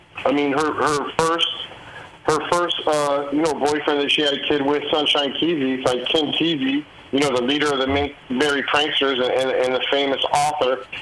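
Noticeable background noise sits behind a man with a fairly high pitch. He speaks at a moderate pace in a flat monotone, with very even loudness. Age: 50s. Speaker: true crime author. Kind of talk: casual interview. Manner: halting, many fillers.

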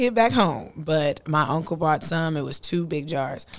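Using an unremarkable speaking voice, a woman talks at a fairly slow pace with lively intonation in a very clean recording with a silent background. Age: 40s. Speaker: podcast co-host. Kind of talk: casual chat.

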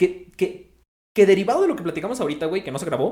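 This man's voice sits at a high pitch. He speaks with a Mexican accent. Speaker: podcast host. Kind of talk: casual chat. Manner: casual, slangy.

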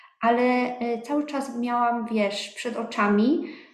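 The voice moves at a very slow pace with fairly even intonation. Audible room echo surrounds it. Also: woman. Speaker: business owner. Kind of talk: interview. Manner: casual.

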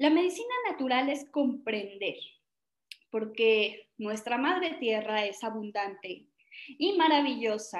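A woman with a Mexican accent speaks at a very slow pace and a high pitch, with lively intonation. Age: 30s. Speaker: natural medicine speaker. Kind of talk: talk. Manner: casual, conversational.

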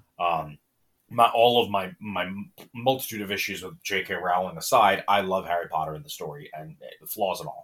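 In an ordinary speaking voice, a man talks at a moderate pace with a fairly low pitch. His pitch varies ordinarily, but his loudness swings widely. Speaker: podcast host. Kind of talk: casual chat.

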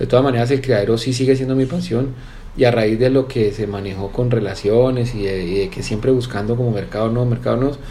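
A man at medium pitch and a fairly quick pace, ordinary pitch variation, with audible room echo and noticeable background noise. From Colombia, Valle del Cauca (Cali). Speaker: businessman and horse breeder. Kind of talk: interview. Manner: halting, repeats words.

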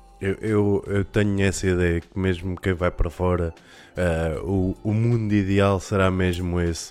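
Speaking at a fairly slow pace, a man with a very deep, low pitch keeps a monotone, flat intonation. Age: 30s. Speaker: podcast host. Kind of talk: casual chat.

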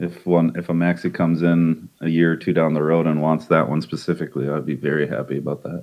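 A man speaks very fast with hardly any pauses. His very deep, low pitch carries fairly even intonation. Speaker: crypto game community member. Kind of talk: casual chat. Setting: online group call.

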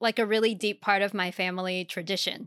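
Bright, sharp tone from a woman at medium pitch, fairly even intonation, a dry, close sound with no echo, and a very clean recording with a silent background. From Germany. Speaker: podcast co-host. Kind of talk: casual chat.

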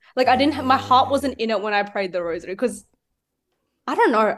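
The speaker talks very fast in an Australian accent. The recording is very clean, with a silent background. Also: woman. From Sydney, Australia. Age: 19. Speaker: youth minister. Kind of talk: casual interview.

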